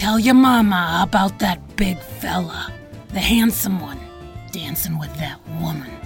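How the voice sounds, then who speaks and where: A woman's gravelly put-on character voice over clear background music. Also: moderate pace. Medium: audio drama. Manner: blunt, domineering.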